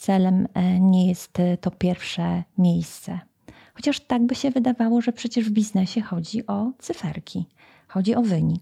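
Somewhat breathy and at a fairly slow pace, the voice moves with ordinary pitch variation. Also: woman, medium pitch for a woman. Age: 50s. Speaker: podcast host, leadership coach. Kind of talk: interview.

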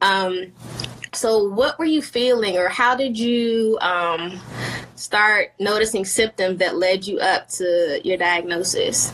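Speaking very slowly with lively intonation and very even loudness, a woman at medium pitch comes through over noticeable background noise. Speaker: podcast host. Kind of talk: casual interview chat. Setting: video call.

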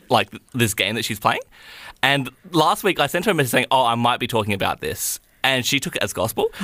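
With a bright, sharp tone and a medium pitch, a man talks very fast in a dry, close sound with no echo. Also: lively intonation. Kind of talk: radio DJ patter, breezy morning-show banter with station IDs and song intros. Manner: bright, chatty and giggly, sliding between banter and slick station-ID delivery.

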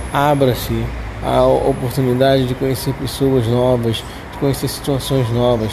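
A man at medium pitch, with audible room echo and noticeable background noise. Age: 40s. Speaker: podcast host living with Parkinson's disease. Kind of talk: personal testimony and advice monologue. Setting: outdoors. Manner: halting, with repetitions.

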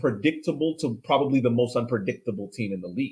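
A man's medium-pitched, somewhat breathy voice with lively intonation. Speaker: soccer podcast co-host. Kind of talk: casual chat.

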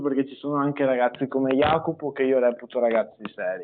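A man's medium-pitched, monotone, flat delivery at a fairly quick pace. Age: young. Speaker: young politician. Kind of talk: live-stream interview.

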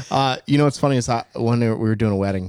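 With an American accent, a man with a fairly low pitch talks at a very fast pace on a very clean recording with a silent background and a dry, close sound with no echo. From New Jersey. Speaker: wedding DJ and podcast host. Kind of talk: casual chat.

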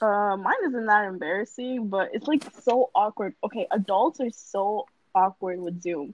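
A woman with a normal speaking voice talks at a medium pitch. She goes fairly slowly with ordinary pitch variation. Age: young. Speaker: podcast co-host. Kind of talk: casual chat.

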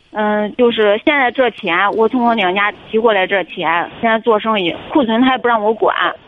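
A woman with a fairly high voice talks at a moderate pace amid noticeable background noise. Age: 30s. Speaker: caller seeking marriage advice. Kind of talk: call-in advice conversation. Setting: phone call. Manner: halting, many fillers and repetitions.

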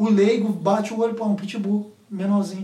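A man speaks fairly quickly in a high, flat monotone. There is noticeable noise in the background. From Minas Gerais, Brazil. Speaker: podcast co-host. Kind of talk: casual chat.

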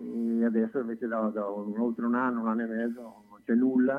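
A man speaks in a flat monotone at a medium pitch. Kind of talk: casual radio chat.

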